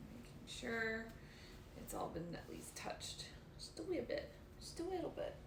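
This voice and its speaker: Long, frequent pauses break up a woman's speech, heard with audible room echo and noticeable background noise. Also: moderate pace. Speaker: leather care streamer. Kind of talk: casual live stream chat while working. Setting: live stream from home. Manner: soft-spoken when absorbed in work; normally loud.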